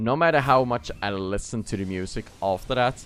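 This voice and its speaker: A man with a Swedish accent, fairly low pitch, ordinary pitch variation and a moderate pace. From Sweden. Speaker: gaming streamer. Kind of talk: casual live stream chat.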